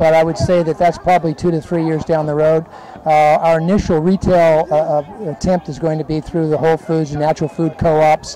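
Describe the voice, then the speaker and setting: Over noticeable background noise, a man speaks very fast with fairly even intonation and a fairly high pitch. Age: 70s. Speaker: vegan dog food company owner. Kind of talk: interview. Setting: festival booth. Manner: hesitant, many fillers.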